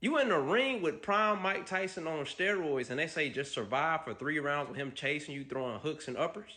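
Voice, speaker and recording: This man's voice sits fairly high and has a bright, sharp tone. His intonation is lively. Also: moderate pace. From US South, Mississippi. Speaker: streamer reacting to videos. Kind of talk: casual reaction commentary. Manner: animated.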